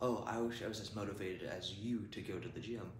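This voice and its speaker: There is noticeable background noise. Through it a man speaks at a fairly low pitch. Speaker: fitness vlogger. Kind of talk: casual vlog chat. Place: gym.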